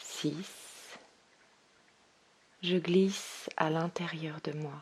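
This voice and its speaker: A woman speaks in a calm, soothing tone at a fairly low pitch. Her delivery is very slow and flat, with monotone intonation. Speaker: meditation guide. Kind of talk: guided meditation, yoga nidra. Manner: slow, calm, soothing, with long pauses.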